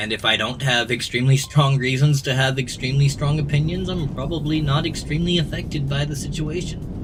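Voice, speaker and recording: Over noticeable background noise, a man with fairly high pitch and fairly even intonation speaks at a fairly quick pace with hardly any pauses. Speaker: gaming streamer. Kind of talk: casual chat. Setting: live stream.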